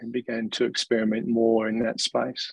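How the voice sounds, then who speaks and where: A man speaks at a moderate pace with an Australian accent. The sound is dry and close, with no echo. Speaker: senior leader in a nonprofit. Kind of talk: interview conversation.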